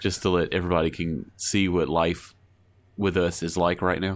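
At a moderate pace, a man with an American accent speaks low in pitch with little pitch movement.

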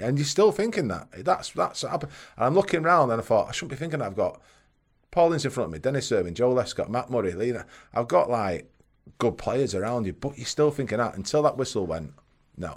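With a Mancunian accent and vocal fry, a man talks at a very fast pace in a medium-pitched voice with very wide pitch swings, on a very clean recording with a silent background. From Manchester, northern England. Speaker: former professional footballer. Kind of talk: casual chat.

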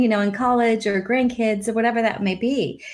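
A woman talks in a plain, everyday voice with ordinary pitch variation. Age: 40s. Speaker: life coach. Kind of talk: casual chat.

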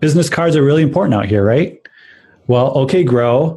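Speaking with a Chicago accent, a man has a dark, mellow tone and a somewhat breathy voice. His intonation is lively and his pace moderate. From Chicago, US. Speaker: tech podcast co-host. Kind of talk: casual chat.

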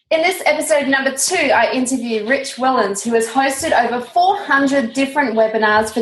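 Over noticeable background noise, a woman talks at a moderate pace with lively intonation and a high pitch. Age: 30s. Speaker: podcast host. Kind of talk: scripted intro; interview.

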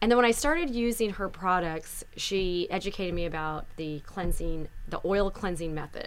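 Speaking with a normal speaking voice, a woman keeps a medium pitch, ordinary pitch variation and a moderate pace with hardly any pauses. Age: 40s. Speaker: skincare company founder. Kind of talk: casual chat. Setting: studio.

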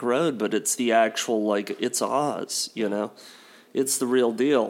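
Captured in a very clean recording with a silent background, a man with a normal speaking voice talks at a fairly slow pace with fairly even intonation. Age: 40s. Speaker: podcast co-host. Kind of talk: casual chat.

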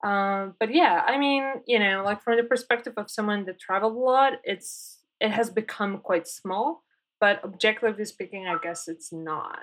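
Speaking at a moderate pace, a woman has a fairly high pitch. She talks in a Polish accent. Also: ordinary pitch variation. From Poland. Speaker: designer and developer. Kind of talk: interview.

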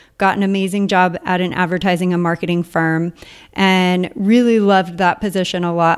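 Her intonation is monotone and flat, at a medium pitch. This woman with an American accent talks at a moderate pace. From mainland US. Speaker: podcaster and online entrepreneur. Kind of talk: interview conversation. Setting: remote call.

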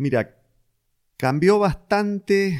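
In a Rioplatense accent, a man speaks with lively intonation. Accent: Argentine Rioplatense Spanish. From Argentina, Venado Tuerto (southern Santa Fe). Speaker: business executive. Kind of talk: interview. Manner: hesitant with frequent repetitions.

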